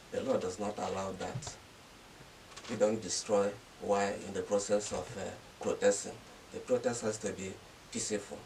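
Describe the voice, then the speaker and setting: Over noticeable background noise, a man with a fairly low pitch speaks at a moderate pace with fairly even intonation and long, frequent pauses. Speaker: university registrar, barrister. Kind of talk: interview answer.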